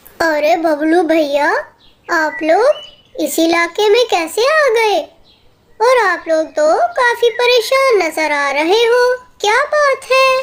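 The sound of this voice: In a cartoonish character voice, the speaker talks at an extremely high pitch and a fairly slow pace.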